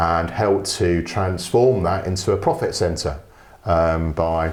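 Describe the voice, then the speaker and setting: A man with a London accent and a very deep, low pitch. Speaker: business development consultant. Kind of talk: podcast interview. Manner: conversational, with hesitations.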